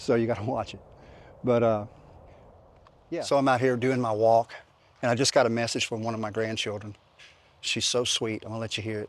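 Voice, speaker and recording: A man with a Louisiana accent speaks at a fairly quick pace in a flat, monotone, medium-pitched voice, with long, frequent pauses. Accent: Southern US (Louisiana). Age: 60s. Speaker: fitness vlogger. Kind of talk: casual vlog talk. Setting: outdoors. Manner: halting, many fillers.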